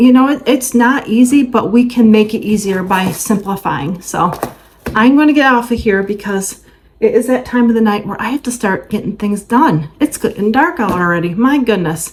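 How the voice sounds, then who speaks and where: A woman's fairly high voice with lively intonation and an animated tone, noticeable background noise behind her. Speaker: lifestyle vlogger. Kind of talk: casual chat. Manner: fast.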